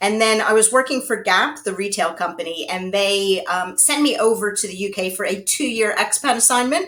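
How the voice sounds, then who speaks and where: This woman has a normal speaking voice with an American accent and lively intonation. She keeps a moderate pace with hardly any pauses. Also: fairly high pitch for a woman. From United States. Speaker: HR consultant and author. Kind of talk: interview.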